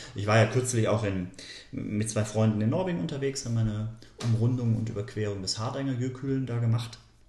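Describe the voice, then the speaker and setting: Somewhat breathy, a man speaks at a medium pitch and fairly quick pace with ordinary pitch variation. Audible room echo surrounds the voice. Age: 40s. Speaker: nature photographer and author. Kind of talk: podcast interview.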